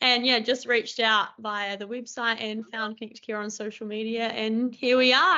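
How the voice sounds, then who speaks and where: A woman with a strong New Zealand accent speaks at a moderate pace, her fairly high pitch showing ordinary variation. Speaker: speech pathologist, new graduate. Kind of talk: online panel Q&A.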